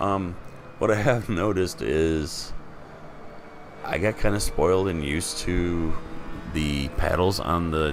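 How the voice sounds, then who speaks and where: A man with a very deep, low pitch at a fairly slow pace, long, frequent pauses, audible room echo and noticeable background noise. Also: ordinary pitch variation. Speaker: sim racing gamer. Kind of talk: gameplay commentary. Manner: casual, animated.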